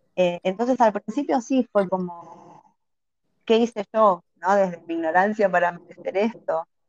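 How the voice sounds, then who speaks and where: A woman with an Argentine accent speaks at a fairly slow pace and a medium pitch, with ordinary pitch variation, in a dry, close sound with no echo. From Argentina, Buenos Aires. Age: 40s. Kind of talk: interview.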